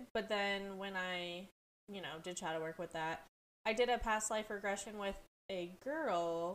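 The speaker has a plain, everyday voice, ordinary pitch variation and a fairly slow pace. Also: woman, medium pitch for a woman. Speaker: podcast co-host. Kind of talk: casual chat.

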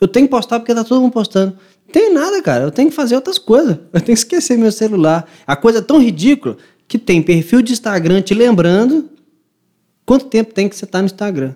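Talking at a fairly quick pace, a man with a high pitch and a dark, mellow tone makes very wide pitch swings. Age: 20s. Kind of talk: casual chat.

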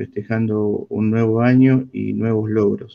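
At a medium pitch, a man talks very slowly with fairly even intonation. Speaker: association volunteer. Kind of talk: casual chat.

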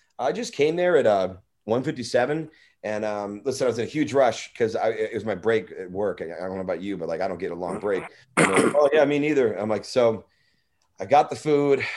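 With an American accent, a man in an ordinary speaking voice talks at medium pitch and a moderate pace, his intonation lively. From US Midwest, St. Louis, Missouri. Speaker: actor and stand-up comedian. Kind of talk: casual chat.

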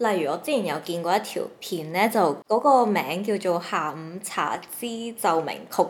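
A woman speaks at a fairly slow pace with lively intonation and a medium pitch. It's an unremarkable speaking voice with hardly any pauses. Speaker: podcast co-host. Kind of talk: casual chat.

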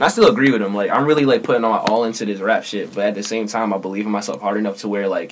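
Here a man with an American accent speaks very fast at a fairly low pitch, his intonation fairly even. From Philadelphia, South Philly. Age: 20s. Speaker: up-and-coming rapper. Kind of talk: casual chat.

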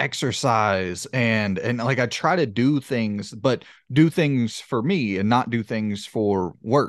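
A Southern US accent over a quiet background. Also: man. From US South. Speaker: video game podcast host. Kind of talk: casual chat. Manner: halting.

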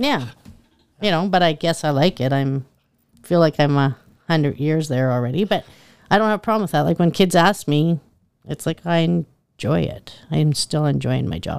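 The speaker has a Canadian Prairies accent and a moderate pace, with ordinary pitch variation. Long pauses come often, and the recording is very clean with a silent background. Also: woman, very deep, low pitch for a woman. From Saskatchewan, Canada. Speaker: school principal and teacher. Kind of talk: interview.

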